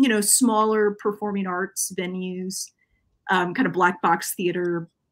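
A woman's bright, sharp voice with fairly even intonation over a quiet background. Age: 30s. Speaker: professor; guest professor. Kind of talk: casual chat. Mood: relaxed, friendly. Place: home room.

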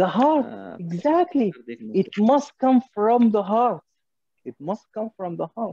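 A man with an Arabic accent speaks at a high pitch in a dark, mellow tone. His pitch swings very widely, and his loudness rises and falls a lot. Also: dry, close sound with no echo. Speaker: cardiologist leading an MCQ teaching session. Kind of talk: interactive lecture. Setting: video call.

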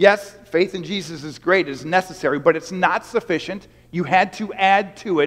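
This man's voice sits at a high pitch. His pitch variation is ordinary. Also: moderate pace, big swings in loudness. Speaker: pastor. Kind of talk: sermon. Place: church.

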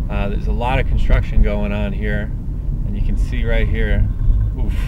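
A man talks at a moderate pace, the sound dry with no echo. Loud background noise runs underneath. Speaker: local driver reporting on road damage. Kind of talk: casual vlog commentary. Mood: annoyed, exclamatory. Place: car. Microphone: phone near.

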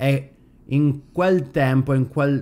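Very slowly, a man with a medium pitch speaks in a dark, mellow tone.

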